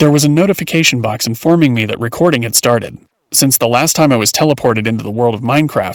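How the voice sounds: A natural reading voice with ordinary pitch variation and a quiet background.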